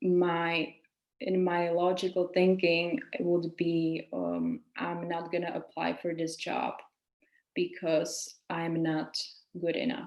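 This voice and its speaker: A woman speaks at a very slow pace. Her fairly low pitch has ordinary pitch variation. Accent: Czech. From Czech Republic. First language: Czech. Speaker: women's coach and yoga teacher. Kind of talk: webinar lecture.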